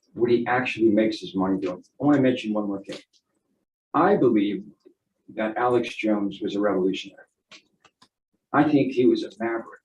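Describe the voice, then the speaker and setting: Long, frequent pauses break up a man's fairly quick speech, which has a medium pitch, ordinary pitch variation and audible room echo. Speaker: expert witness, economist. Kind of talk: courtroom testimony. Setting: courtroom witness stand. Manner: halting, repeats words.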